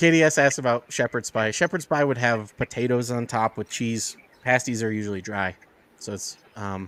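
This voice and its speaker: With an American accent, a man talks at a moderate pace in a medium pitch with ordinary pitch variation, and the sound is dry and close with no echo. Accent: can switch Yooper accent on and off. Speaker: podcast guest. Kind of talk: casual chat.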